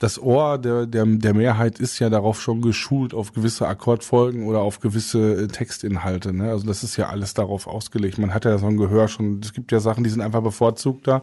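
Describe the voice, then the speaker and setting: This man has a fairly low, dark, mellow voice with flat, monotone intonation. He talks at a fairly quick pace with hardly any pauses. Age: 20s. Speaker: singer-songwriter. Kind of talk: casual interview chat. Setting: musicians' studio.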